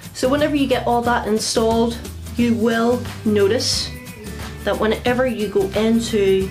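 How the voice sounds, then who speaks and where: Clear music plays in the background as a woman with a Northern Irish accent speaks at a fairly slow pace. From Northern Ireland. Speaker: tech tutorial video maker. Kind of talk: casual, friendly. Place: home room.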